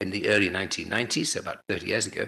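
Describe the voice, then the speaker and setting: A man with a British accent against a quiet background. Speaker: chemistry professor. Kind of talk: lecture. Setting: seminar talk. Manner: halting, many fillers.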